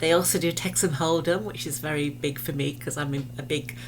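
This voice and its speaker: A woman's very deep, low voice, with audible room echo and noticeable background noise. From England. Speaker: realtor. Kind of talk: promotional video talk to camera.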